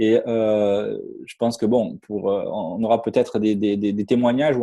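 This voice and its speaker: A man with a Marseille accent speaks in a dark, mellow tone. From southern France, Marseille. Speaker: network marketing distributor. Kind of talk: sales pitch. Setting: online webinar with screen share. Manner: halting, many fillers and repetitions.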